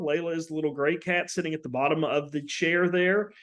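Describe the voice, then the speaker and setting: In an American accent, a man speaks at a high pitch with fairly even intonation. He keeps a fairly quick pace. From West Virginia. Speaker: university professor. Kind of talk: lecture. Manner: halting, many fillers.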